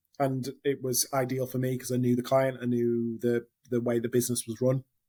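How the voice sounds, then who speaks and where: With a northern English accent, a man speaks at a fairly quick pace in a dark, mellow tone with monotone, flat intonation. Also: medium pitch for a man. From northern England. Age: 30s. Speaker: hospitality general manager. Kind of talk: interview. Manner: hesitant, many fillers.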